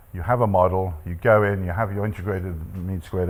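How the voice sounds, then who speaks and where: A man speaks at a very fast pace in a very deep, low voice. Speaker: statistics professor, panelist. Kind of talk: panel talk with slides.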